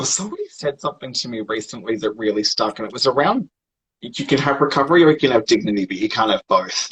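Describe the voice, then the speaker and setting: With an Australian accent, a man talks very fast at a fairly high pitch. His intonation is lively. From Australia, Sydney. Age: 30s. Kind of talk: casual interview. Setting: livestream video call.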